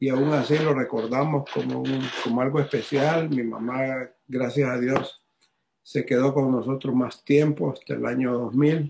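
At a fairly slow pace, a man with a medium pitch and a somewhat breathy voice talks in a monotone, flat intonation. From Honduras. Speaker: businessman and ministry regional director. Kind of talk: testimony.

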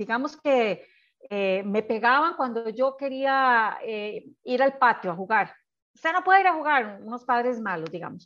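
Her voice high and her intonation lively, a woman speaks at a fairly slow pace over a quiet background. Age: 60s. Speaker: psychologist. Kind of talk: interview.

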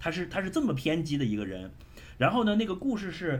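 Very wide pitch swings from a man, with audible echo in the room. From Shenzhen, China. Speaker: podcast guest. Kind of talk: casual chat. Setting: video call.

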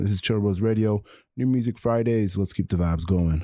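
The tone is dark, mellow and warm. The sound is dry and close with no echo, on a very clean recording with a silent background. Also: man. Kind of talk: radio DJ patter: live campus-radio show intros, new-music teases and sign-off. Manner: warm, positive and encouraging, with catchphrases.

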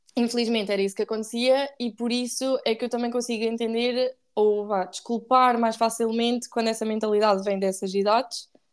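Fairly high in pitch, a woman speaks at a fairly quick pace with hardly any pauses. Her intonation is monotone and flat. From Portugal, Aveiro district. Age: 20s. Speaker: podcast guest, recent university student. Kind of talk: casual chat. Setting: remote recording.

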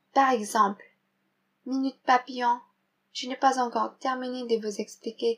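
Speech comes at a fairly slow speed in a monotone, flat intonation. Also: woman. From Philippines. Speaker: French learner. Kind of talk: reading a vocabulary segment.

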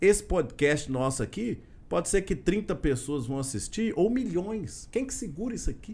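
On a very clean recording with a silent background, a high-pitched man speaks at a moderate pace with very wide pitch swings. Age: 30s. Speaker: state legislator. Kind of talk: casual interview.

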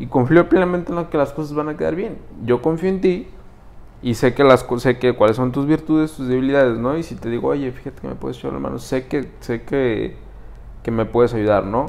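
This man talks at a fairly quick pace with ordinary pitch variation and big swings in loudness. Background noise is noticeable. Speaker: podcast co-host. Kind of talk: casual interview chat. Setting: studio.

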